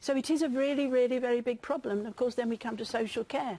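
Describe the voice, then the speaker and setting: A woman with a British accent, high-pitched and dark, mellow in tone, at a fairly quick pace. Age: old. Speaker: pensioners' campaigner. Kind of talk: live TV interview answer. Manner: outspoken, forceful.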